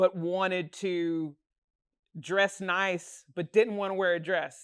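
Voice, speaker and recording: A woman's fairly low voice with an American accent, on a very clean recording with a silent background. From US South, Chattanooga Tennessee. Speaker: musician. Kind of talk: interview.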